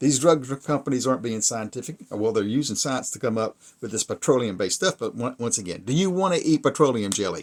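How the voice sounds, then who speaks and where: Here a man talks at a very fast pace in a medium pitch. The recording is very clean with a silent background. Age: 60s. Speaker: video commentator. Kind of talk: casual monologue to camera. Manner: halting, many fillers and restarts.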